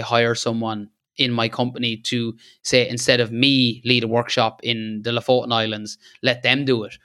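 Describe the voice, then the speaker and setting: On a very clean recording with a silent background, a man with an Irish accent speaks in a bright, sharp tone with monotone, flat intonation. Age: 30s. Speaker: landscape photographer. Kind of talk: casual interview chat.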